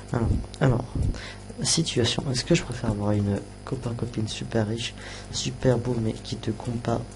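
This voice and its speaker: Soft-spoken, a man with a medium pitch talks at a moderate pace with fairly even intonation. Music plays in the background, and room echo is audible. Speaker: youtuber. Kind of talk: casual chat. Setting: live stream. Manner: halting. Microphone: quiet, adjusted level.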